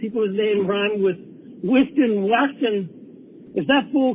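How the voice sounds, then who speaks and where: Moderately paced speech from a man at a high pitch, with ordinary pitch variation. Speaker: caller to a sports call-in show. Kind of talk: casual chat. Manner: rambling, informal.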